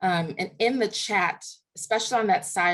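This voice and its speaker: With lively intonation, a woman speaks in a medium pitch, her voice somewhat breathy. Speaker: workshop leader. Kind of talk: online workshop presentation. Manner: fast.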